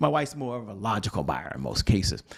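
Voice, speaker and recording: Speaking at a very fast pace, a man keeps to a medium pitch. His tone is animated. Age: 50s. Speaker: business trainer. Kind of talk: training talk.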